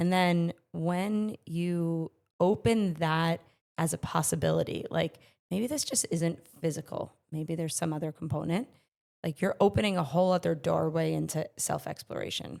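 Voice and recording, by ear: A woman speaks at a moderate pace with a fairly low pitch and ordinary pitch variation, her tone slightly mellow and raspy with vocal fry. The recording is very clean, with a silent background.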